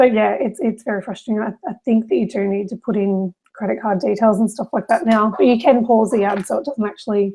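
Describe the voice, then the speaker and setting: Here a woman talks at a fairly quick pace with ordinary pitch variation. Her voice is somewhat breathy. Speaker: SEO consultant. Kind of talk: webinar presentation. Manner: fast.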